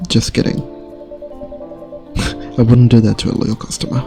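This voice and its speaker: A soft-spoken man of medium pitch, with music in the background. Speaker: gaming ASMR streamer. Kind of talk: reading game dialogue aloud.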